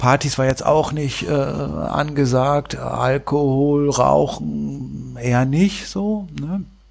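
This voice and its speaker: A man at a very slow pace with hardly any pauses. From Hesse, Vogelsbergkreis. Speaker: NGO director. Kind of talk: casual chat.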